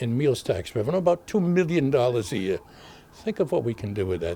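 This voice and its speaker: The voice has a Boston accent and a dark, mellow tone. Its pitch swings very widely on a very clean recording with a silent background. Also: man. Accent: Boston-area New England. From Massachusetts, Haverhill. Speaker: mayor. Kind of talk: video address.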